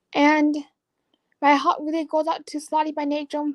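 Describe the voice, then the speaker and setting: Her voice sits high. The woman's delivery moves at a moderate pace. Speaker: slot channel creator. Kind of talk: live stream interview. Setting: live video stream. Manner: halting, effortful speech from apraxia.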